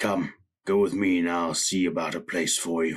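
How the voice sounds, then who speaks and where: Using a put-on character voice, a man speaks in a very deep, low, raspy register at a moderate pace, with very even loudness and fairly even intonation. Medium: read story.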